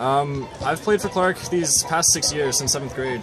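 A man speaks at a moderate pace while clear music sounds behind him. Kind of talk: interview answer. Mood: relaxed, friendly. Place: stadium. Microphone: phone near.

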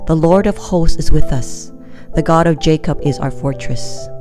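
Music plays in the background while a woman speaks in a very deep, low pitch. Her pace is fairly slow and her intonation lively. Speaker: Bible reader, devotional narrator. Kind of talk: Bible reading of a psalm, devotional.

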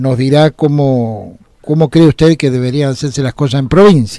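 Dark and mellow in tone, the voice moves at a moderate pace. The sound is dry with no echo, and the background is quiet. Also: man. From Argentina. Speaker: radio host. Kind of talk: radio interview. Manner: formal. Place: studio.

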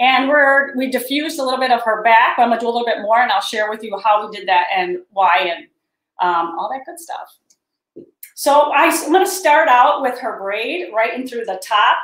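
Moderate-paced speech with big swings in loudness, audible room echo and a quiet background. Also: woman, high pitch for a woman. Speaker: hair stylist educator. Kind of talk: tutorial. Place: studio.

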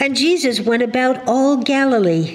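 A woman's lively intonation at a fairly slow pace. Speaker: scripture reader. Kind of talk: scripture reading. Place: church.

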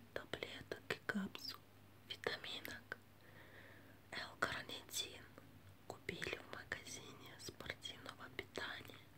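Whispering, a woman speaks at a very slow pace. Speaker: ASMR creator. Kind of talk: ASMR trigger video. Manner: whispered.

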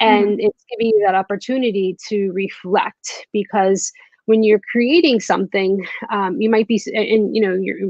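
The pitch moves in an ordinary way. A woman delivers it at a moderate speed. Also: quiet background, dry sound with no echo. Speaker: guest. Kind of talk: interview answer. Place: home room. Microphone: video call.

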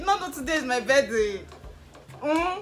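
A woman's raised, projected voice at a fairly slow pace, full of very wide pitch swings, with light background noise. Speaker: vlogger. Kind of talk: casual vlog chat. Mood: happy, laughing, excited. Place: home room. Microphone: camera far.

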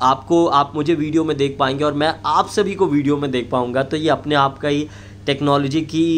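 With light background noise behind him, a man talks at a moderate pace with fairly even intonation. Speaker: video creator. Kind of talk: casual vlog announcement. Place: home room.

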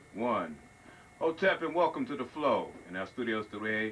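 A man speaks at a fairly slow pace with lively intonation. Light background noise can be heard. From Long Island, New York. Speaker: TV show host. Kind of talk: interview. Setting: studio. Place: studio. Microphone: handheld.

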